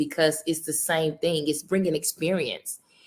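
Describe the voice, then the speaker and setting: With a Southern US accent, a woman speaks in an animated tone at a fairly low pitch. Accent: Southern accent, noticeable. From US South, Mississippi. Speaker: women's basketball coach. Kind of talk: interview.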